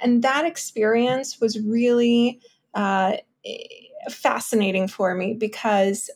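A woman's fairly high voice with a New York accent, at a fairly slow pace. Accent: New York American. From Ukraine, raised in Brooklyn. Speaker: art consultant. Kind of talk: casual interview.

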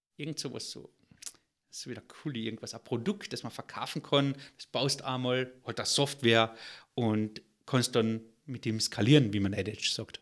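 This man speaks at a moderate pace and medium pitch, with ordinary pitch variation. His loudness swings widely, and long, frequent pauses break up his speech. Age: 40s. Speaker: entrepreneur, software company founder. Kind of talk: interview.

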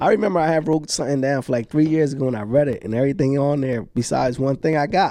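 At a very fast pace, a dark, mellow voice speaks with ordinary pitch variation. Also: man, fairly high pitch for a man. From US urban neighborhood. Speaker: real estate investor. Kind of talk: casual chat. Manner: animated.

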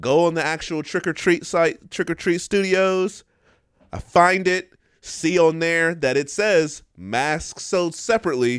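Animated and fairly slow, a man speaks. His pitch is high. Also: ordinary pitch variation. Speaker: podcast co-host. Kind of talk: casual chat.

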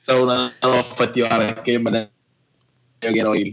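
A man at a medium pitch and moderate pace, with music in the background. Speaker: craft brewer. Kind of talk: casual chat.

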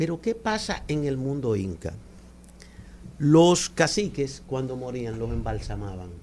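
Pitch swinging very widely, a man with a medium pitch speaks at a fairly slow pace. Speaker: cultural manager. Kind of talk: radio interview. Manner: soft-spoken. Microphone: too far from the mic.

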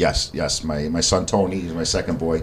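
There is noticeable background noise in this clip. A man speaks at a very deep, low pitch with ordinary pitch variation. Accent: American. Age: 40s. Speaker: chef and meal prep business owner. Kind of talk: casual interview. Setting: studio, in person.

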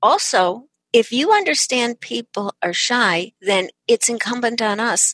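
A woman with an American accent and a plain, everyday voice talks at a fairly slow pace, the sound dry and close with no echo. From Chicago. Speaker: author and keynote speaker. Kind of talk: interview.

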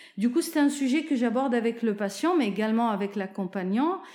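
A woman speaks with a fairly high pitch. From Lebanon (Zahle). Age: 50s. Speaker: oncology nurse. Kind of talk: testimony. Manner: hesitant, many fillers.

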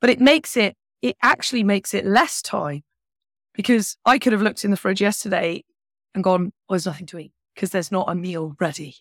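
A woman with a British accent speaks at a fairly quick pace and a medium pitch, with big swings in loudness and a dry, close sound with no echo. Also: lively intonation. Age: 40s. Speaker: money coach and former chef. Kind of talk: casual chat. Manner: animated.

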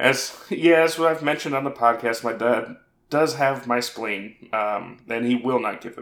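Someone reads aloud in a natural voice, letting the pitch rise and fall in an ordinary way.

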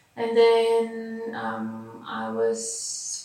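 The speaker is a woman with a fairly high pitch. Her words carry audible room echo. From Bulgaria. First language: Bulgarian. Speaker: dancer and dance scientist. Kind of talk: interview.

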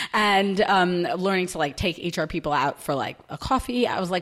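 A woman with a New York accent. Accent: New York American. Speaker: recruitment team lead. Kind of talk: casual interview chat.

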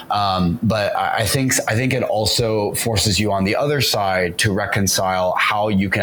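A man talks at a fairly low pitch with ordinary pitch variation. Audible room echo and noticeable background noise surround him. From US South and Orange County, California. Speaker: entrepreneur. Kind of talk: interview.

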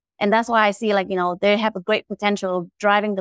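A woman talks at a fairly quick pace in a monotone, flat delivery at medium pitch, recorded dry and close with no echo. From Vietnam. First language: Vietnamese. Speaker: angel investor. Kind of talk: panel discussion. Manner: halting.

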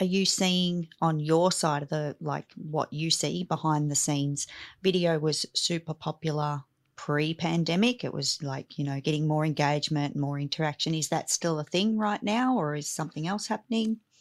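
An enthusiastic woman at a moderate pace, very deep and low in pitch with ordinary pitch variation, in a dry, close sound with no echo. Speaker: podcast host, business coach. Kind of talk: casual interview chat. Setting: remote call.

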